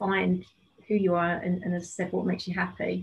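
Her medium-pitched voice somewhat breathy, a woman speaks with monotone, flat intonation. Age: 50s. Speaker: life coach and yoga teacher. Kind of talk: casual chat.

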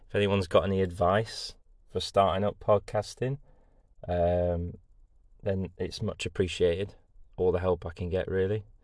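Against a quiet background, a man with an East Midlands accent and a very deep, low pitch talks at a moderate pace in a monotone, flat intonation with long, frequent pauses. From England, Lincoln (East Midlands). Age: 20s. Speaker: podcast host, engineer. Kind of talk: casual solo monologue. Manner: chatty, with many fillers.

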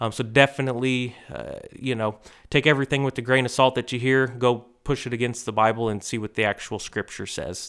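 A man of medium pitch talks fairly quickly with hardly any pauses and fairly even intonation on a very clean recording with a silent background. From US Midwest, Missouri. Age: 30s. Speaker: church member. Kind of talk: testimony. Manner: halting, many fillers.

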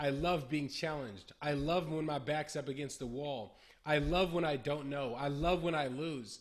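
A man with an American accent uses a normal speaking voice at a moderate pace, his pitch fairly high and his intonation fairly even. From California, Bay Area. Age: 20s. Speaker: entrepreneur. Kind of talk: casual interview.

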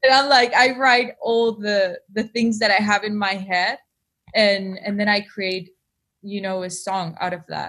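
A woman with a Spanish accent talks in a bright, sharp tone and fairly even intonation. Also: medium pitch for a woman. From Argentina, Buenos Aires. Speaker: singer-songwriter. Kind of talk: interview.

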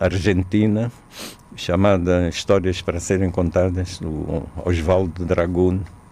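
A man's very deep, low voice, dark and mellow in tone, fairly slow, with monotone, flat intonation. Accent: Angolan. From Angola, small inland town. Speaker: theatre director and playwright. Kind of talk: interview. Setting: radio studio. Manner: hesitant, frequent repetitions.

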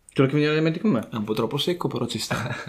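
A man at a very fast pace with lively intonation, over noticeable background noise. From Emilia-Romagna, Savignano sul Rubicone. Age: 20s. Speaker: student. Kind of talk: casual chat.

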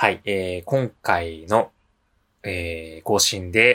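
Ordinary pitch variation with a bright, sharp tone. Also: man. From Japan, Nishinomiya, Hyogo (Kansai). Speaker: podcast co-host. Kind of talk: casual chat.

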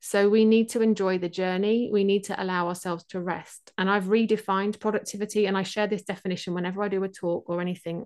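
Talking very fast with a fairly even intonation, a woman with an English Midlands accent speaks at a medium pitch over a quiet background. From England, Leicestershire (East Midlands). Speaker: productivity mentor. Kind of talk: interview conversation.

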